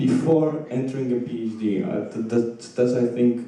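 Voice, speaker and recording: A man with a Polish accent speaks at a medium pitch and a moderate pace. His pitch varies in an ordinary way, with audible room echo. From Poland. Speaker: audience member, PhD-level researcher. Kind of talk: audience question.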